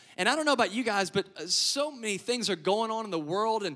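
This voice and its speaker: A man with an American accent uses a raised, projected voice with a bright, sharp tone and lively intonation. The recording is very clean, with a silent background. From Louisiana (Lafayette, Cajun country). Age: young. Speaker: pastor. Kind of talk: sermon. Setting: church stage with audience.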